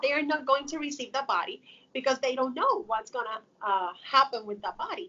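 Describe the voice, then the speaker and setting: A woman with a Spanish accent speaks at a high pitch and a fairly quick pace, her pitch swinging very widely. Noticeable background noise is present. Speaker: funeral home worker. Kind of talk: interview.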